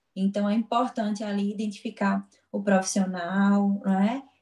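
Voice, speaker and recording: Somewhat breathy and dark, mellow in tone, a woman's voice sits at a medium pitch. She speaks at a fairly slow pace. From Pernambuco, northeastern Brazil (Garanhuns). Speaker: physiotherapist and lecturer. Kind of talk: interview.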